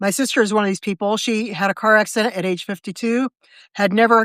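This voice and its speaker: Speaking at a very fast pace, a woman with an American accent uses a fairly high pitch and fairly even intonation. The recording is very clean with a silent background, and the sound is dry and close with no echo. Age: 60s. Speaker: writer and live video host. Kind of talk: casual live video chat. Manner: conversational with frequent fillers and restarts.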